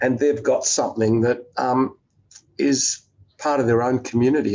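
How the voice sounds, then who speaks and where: Speaking at a moderate pace, a man with an Australian accent uses a medium pitch and fairly even intonation. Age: 60s. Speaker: investor and business executive. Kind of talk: interview conversation. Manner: halting, many fillers.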